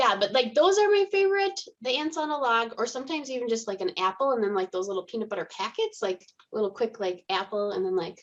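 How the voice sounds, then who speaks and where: Speaking at a very fast pace, a woman with a Minnesota accent has a fairly high pitch. Her pitch swings very widely. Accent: Minnesota accent, a bit Canadian. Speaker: in-home euthanasia veterinarian. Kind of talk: podcast interview. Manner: casual, lots of filler words.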